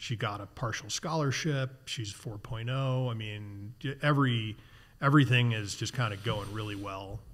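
The speaker talks at a fairly slow pace with an American accent and ordinary pitch variation. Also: man, medium pitch for a man. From US Midwest, Chicago suburbs; Illinois. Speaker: outdoor industry executive and sailor; podcast guest. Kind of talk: casual interview conversation. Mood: relaxed, reflective storytelling. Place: garage. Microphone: studio mic.

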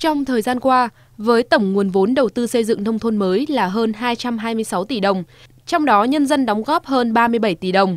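In a quiet background with a dry sound and no echo, a woman speaks fairly slowly in a fairly high pitch with ordinary pitch variation. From Vietnam. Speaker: TV program presenter. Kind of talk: news reading. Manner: formal.

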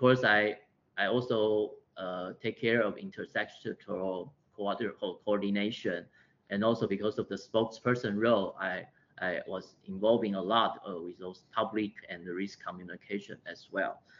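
With a Taiwanese accent, a man talks at a fairly low pitch, his intonation fairly even but his loudness swinging widely. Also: moderate pace. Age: 40s. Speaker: public health physician. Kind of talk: lecture. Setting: video call. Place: office. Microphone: video call.

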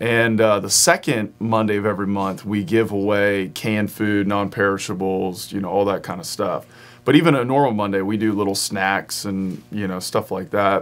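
In an American accent, a man talks at a fairly low pitch and moderate pace with fairly even intonation and hardly any pauses. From Front Royal, Virginia; Virginia. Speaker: pastor. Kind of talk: casual interview. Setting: studio. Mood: friendly, relaxed. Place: studio.

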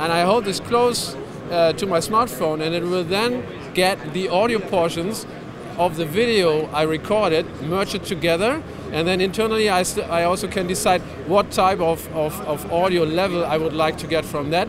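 A high-pitched man speaks at a moderate pace with ordinary pitch variation. The sound is dry with no echo, though noticeable background noise is present. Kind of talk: interview answer, product demo. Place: hall. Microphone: handheld.

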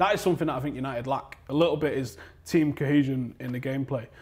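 Speaking at a very fast pace, a man with a Mancunian accent sounds somewhat breathy. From Manchester, England. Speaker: football fan pundit; football fan channel host. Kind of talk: heated debate. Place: studio.

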